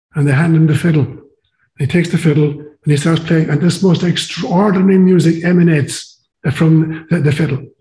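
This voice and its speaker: In an Irish accent, a man speaks fairly quickly with a dark, mellow tone, fairly high pitch, fairly even intonation and very even loudness. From Ireland. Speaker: priest and psychologist, interview guest. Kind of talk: interview conversation, storytelling.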